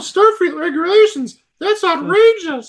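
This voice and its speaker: This female-sounding voice is a put-on character voice, extremely high in pitch for a woman and delivered at a fairly slow pace. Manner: put-on, exaggerated.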